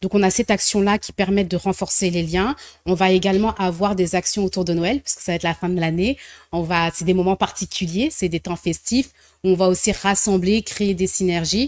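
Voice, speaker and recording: A woman's plain, everyday voice at medium pitch and moderate pace, with fairly even intonation, on a very clean recording with a silent background and a dry, close sound with no echo. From French diaspora, left Congo very young. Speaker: social entrepreneur, association founder. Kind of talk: TV interview.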